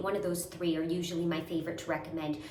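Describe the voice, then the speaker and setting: A woman is heard amid noticeable background noise and audible room echo. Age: 30s. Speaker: skincare content creator. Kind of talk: tutorial. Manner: whispering.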